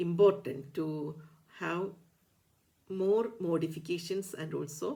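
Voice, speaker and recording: Her tone dark and mellow, a woman with a Keralan accent speaks at a fairly slow pace. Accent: Indian English, Malayali. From India, Kerala. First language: Malayalam. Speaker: ayurveda doctor and teacher. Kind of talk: educational talk. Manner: halting, many fillers.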